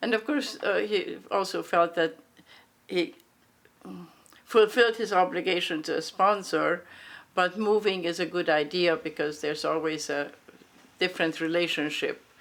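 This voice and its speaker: Someone with a Hungarian accent speaks at a moderate pace, with ordinary pitch variation and long, frequent pauses. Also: woman, fairly low pitch for a woman. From grew up in US South and Midwest, Hungarian refugee family. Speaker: Hungarian refugee interviewee. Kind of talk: oral history interview. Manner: hesitant, many fillers and restarts.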